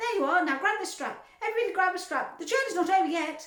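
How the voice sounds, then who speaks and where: A woman in a squeaky put-on character voice speaks at an extremely high pitch and a very fast pace, her raised, projected voice carrying a slight echo. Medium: read story. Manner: brisk, showy.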